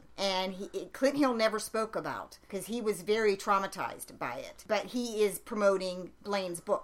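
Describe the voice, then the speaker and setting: A woman speaks at a medium pitch and a moderate pace, with ordinary pitch variation and hardly any pauses. It is an ordinary speaking voice. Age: 50s. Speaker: podcast co-host, conspiracy researcher. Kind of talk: casual chat.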